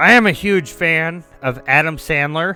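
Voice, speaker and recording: Music can be heard in the background. Over it, a man talks with lively intonation. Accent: American. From US South. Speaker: streamer. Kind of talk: casual chat.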